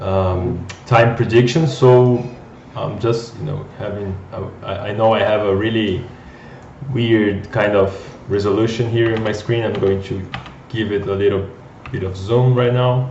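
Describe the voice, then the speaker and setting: A man with a Brazilian accent speaks fairly slowly at a medium pitch, with audible room echo and noticeable background noise. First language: Portuguese. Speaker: data scientist, company co-founder. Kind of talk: live coding tutorial. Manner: halting, many repeated words.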